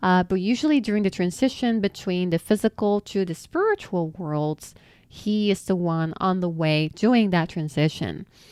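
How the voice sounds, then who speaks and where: With a non-native accent, a woman speaks in an animated tone at a medium pitch, a moderate pace and ordinary pitch variation. The sound is dry and close with no echo, over a quiet background. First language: not English. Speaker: spiritual content creator. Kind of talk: answering viewer questions.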